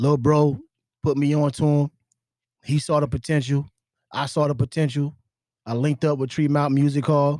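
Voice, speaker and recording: A man with an American accent at a moderate pace, fairly high in pitch, dark and mellow in tone, monotone and flat in intonation, with long, frequent pauses. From US South. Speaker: entrepreneur. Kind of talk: casual chat.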